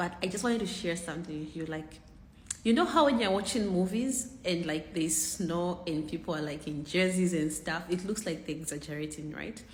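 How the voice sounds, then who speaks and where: Speaking at a fairly quick pace, a woman with a fairly low pitch and ordinary pitch variation is heard with audible room echo. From Zambia. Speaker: content creator. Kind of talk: casual vlog.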